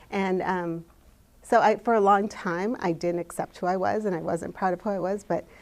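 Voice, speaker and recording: A woman at a medium pitch, moderate pace and fairly even intonation, on a very clean recording with a silent background. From Mexico, raised in California. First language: Spanish. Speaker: storyteller. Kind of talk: personal storytelling. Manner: halting, many fillers.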